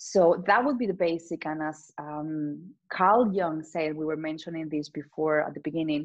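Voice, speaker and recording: A woman with a Spanish accent speaks in a very deep, low pitch at a moderate pace. Her pitch varies in an ordinary way, and she hardly pauses at all. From Spain. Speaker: transformational coach. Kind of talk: casual chat.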